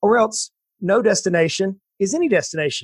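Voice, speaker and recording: A man with a Southern US accent speaks at a high pitch with lively intonation, in a very clean recording with a silent background. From US South, south Georgia. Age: 40s. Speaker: financial planner and entrepreneur. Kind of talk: interview. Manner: animated.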